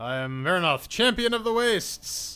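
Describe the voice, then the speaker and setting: A man's put-on character voice, high-pitched, with very wide pitch swings at a moderate pace. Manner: commanding.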